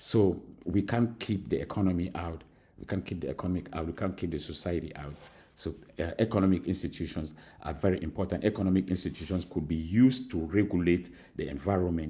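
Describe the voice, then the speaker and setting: Very deep and low, a man's dark, mellow, somewhat breathy voice rushes along very fast with ordinary pitch variation. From Cameroon. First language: Mankon. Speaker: university lecturer. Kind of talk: recorded lecture. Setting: recorded alone at school. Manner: halting, many fillers.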